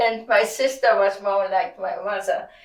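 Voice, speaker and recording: In a German accent, a woman speaks. Her pace is very slow. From Germany. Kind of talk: interview answer.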